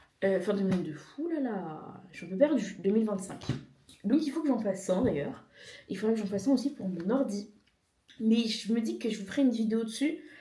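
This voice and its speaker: Intonation is lively and the pace fairly quick, broken by long, frequent pauses, with audible room echo. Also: woman, fairly high pitch for a woman. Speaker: vlogger. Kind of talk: casual vlog.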